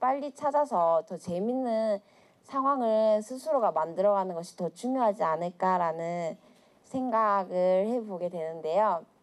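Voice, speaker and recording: In a normal speaking voice, a woman talks at a fairly slow pace and medium pitch. Her intonation is lively. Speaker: public speaker, volunteer. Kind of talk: public talk to audience. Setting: stage with audience.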